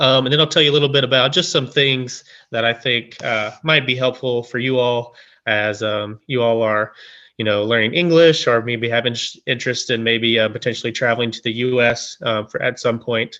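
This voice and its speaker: A man speaks at a moderate pace in a medium pitch. He has an unremarkable speaking voice. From US South, rural east Tennessee. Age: 20s. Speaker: graduate student, guest speaker. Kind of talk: presentation to online audience. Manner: casual, many filler ums.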